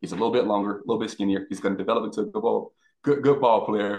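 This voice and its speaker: A man with an American accent talks at a fairly quick pace in an ordinary speaking voice, with ordinary pitch variation. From South Florida. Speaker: former pro football player. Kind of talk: casual chat.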